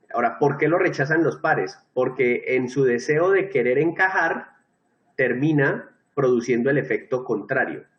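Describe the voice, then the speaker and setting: At a moderate pace, a man talks in a fairly high pitch, his voice somewhat breathy. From Colombia. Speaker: teacher. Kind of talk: lecture.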